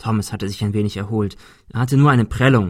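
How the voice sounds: A natural reading voice carries the text with ordinary shifts in pitch.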